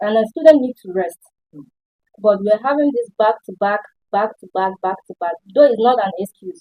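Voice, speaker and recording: A woman with a Nigerian accent speaks at a moderate pace in a fairly high voice, with ordinary pitch variation and big swings in loudness. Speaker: student. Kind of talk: panel discussion.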